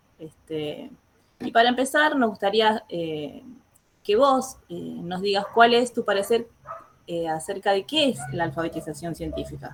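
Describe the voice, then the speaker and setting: A woman with an Argentine accent speaks at a medium pitch and fairly slow pace, her intonation lively. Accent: Argentine Spanish (voseo, 'este' filler). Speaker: teacher, interview host. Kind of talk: interview. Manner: hesitant, frequent 'este' fillers.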